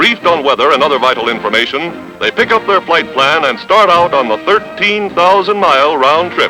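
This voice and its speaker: A man's voice sits high in pitch, with music underneath. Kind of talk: newsreel narration.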